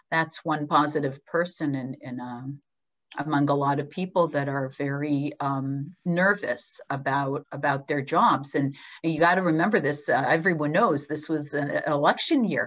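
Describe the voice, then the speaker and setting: A woman's very deep, low voice at a moderate pace, with fairly even intonation. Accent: American. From Israel. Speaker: hospital clinical research executive. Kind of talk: webinar Q&A.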